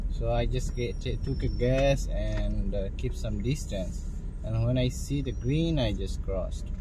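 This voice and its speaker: In a dry recording with no echo yet noticeable background noise, a man speaks at a fairly slow pace. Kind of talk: casual driving commentary. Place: car. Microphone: phone near.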